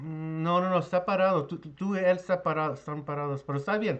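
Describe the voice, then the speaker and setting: At a fairly quick pace, a man with an ordinary speaking voice talks with ordinary pitch variation. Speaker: grandson interviewing his grandmother. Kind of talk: interview questions.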